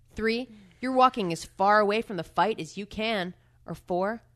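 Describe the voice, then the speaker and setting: Against a quiet background, a woman with an unremarkable speaking voice talks at a medium pitch with lively intonation. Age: 30s. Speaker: podcast co-host. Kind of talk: casual chat.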